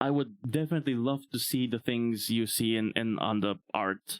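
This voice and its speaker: With a Bulgarian accent, a man talks at a moderate pace in a medium pitch, the sound dry and close with no echo. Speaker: VTuber streamer. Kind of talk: livestream monologue.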